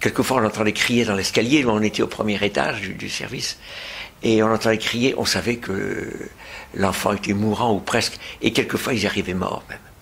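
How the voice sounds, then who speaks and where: A man speaks at a moderate pace in a fairly low pitch with fairly even intonation over noticeable background noise. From France. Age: 80s+. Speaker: retired pediatrician and anti-abortion activist. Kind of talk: interview testimony. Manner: halting, many hesitations.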